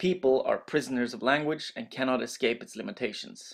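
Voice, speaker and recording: A voice with a Norwegian accent in a very clean recording with a silent background. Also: man. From Norway. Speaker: master's student. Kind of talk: educational presentation voiceover.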